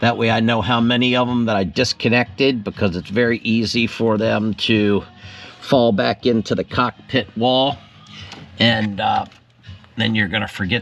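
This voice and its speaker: A man talks at a moderate pace, and music plays in the background. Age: 60s. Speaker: fishing vlogger. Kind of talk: DIY tutorial vlog. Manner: casual, with fillers.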